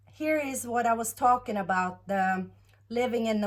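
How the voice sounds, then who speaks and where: The speaker has a Norwegian accent. The intonation is lively. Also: woman. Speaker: tarot reader. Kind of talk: tarot reading monologue. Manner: halting, many fillers.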